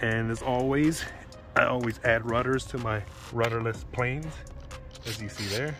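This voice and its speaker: A man speaks at a fairly slow pace. Clear music plays in the background, and the sound is dry with no echo. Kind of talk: casual vlog chat. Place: street.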